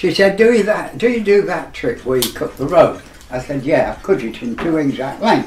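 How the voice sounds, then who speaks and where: A man's moderately paced speech with very wide pitch swings, set against noticeable background noise. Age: 80s+. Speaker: magician. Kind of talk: casual chat.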